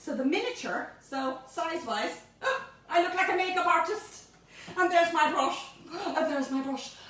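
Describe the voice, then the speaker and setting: A woman's extremely high-pitched voice at a moderate pace, with lively intonation, audible room echo and noticeable background noise. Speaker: home baking presenter. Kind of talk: cooking tutorial. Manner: animated.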